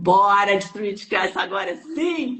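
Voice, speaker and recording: A woman's animated tone with ordinary pitch variation. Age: 60s. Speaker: energy healing teacher. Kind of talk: live stream chat. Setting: online live stream.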